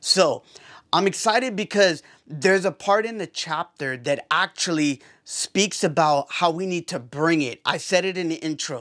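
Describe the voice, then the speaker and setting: A man speaks loud at a high pitch and moderate pace, with an energetic tone and ordinary pitch variation, on a very clean recording with a silent background. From Puerto Rico. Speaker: podcast host. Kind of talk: casual vlog talk.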